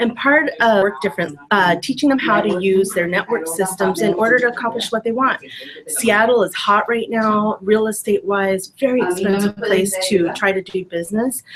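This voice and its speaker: A woman talks with hardly any pauses over noticeable background noise. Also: medium pitch for a woman, ordinary pitch variation, moderate pace. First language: Spanish. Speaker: business trainer. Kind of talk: casual chat. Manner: animated.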